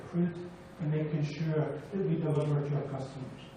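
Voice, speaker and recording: With audible room echo around him, a man speaks in a monotone, flat intonation. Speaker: refinery plant manager. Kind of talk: public hearing presentation. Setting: public hearing with audience, microphone. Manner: formal.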